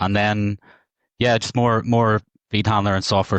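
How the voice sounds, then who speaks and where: The speaker has a Northern Irish accent. The sound is dry and close with no echo, over a quiet background. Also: man. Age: 40s. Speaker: market data technology executive. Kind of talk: podcast interview.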